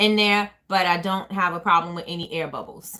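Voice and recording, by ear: A woman's fairly low voice, bright and sharp in tone, with fairly even intonation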